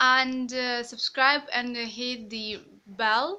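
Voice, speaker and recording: Her voice is high-pitched with a bright, sharp tone, and this woman keeps fairly even intonation. The background is quiet. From East Ukraine. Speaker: vlogger. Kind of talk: casual vlog narration. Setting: home kitchen. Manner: halting, with fillers.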